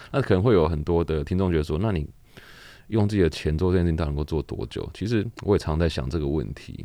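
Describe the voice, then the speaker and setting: A man's very deep, low voice with a dark, mellow tone, ordinary pitch variation and a very fast pace over a quiet background. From Taiwan. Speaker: laundry shop owner and charity organizer. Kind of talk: interview.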